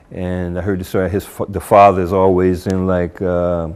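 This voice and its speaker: Amid noticeable background noise, a man with an American accent speaks at a very deep, low pitch. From New Jersey, US. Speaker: convert sharing his story. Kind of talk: testimony. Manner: casual, hesitant with fillers.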